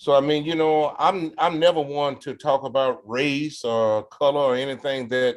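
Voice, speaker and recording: A man's fairly high voice at a moderate pace, with fairly even intonation, in a very clean recording with a silent background. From US South, Arkansas. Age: 60s. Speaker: blues guitarist and singer. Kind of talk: interview.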